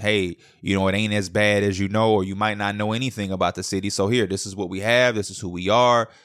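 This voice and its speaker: This man has an American accent and a fairly low pitch. He talks at a fairly quick pace on a very clean recording with a silent background. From Chicago. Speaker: podcast host. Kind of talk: casual monologue. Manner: animated.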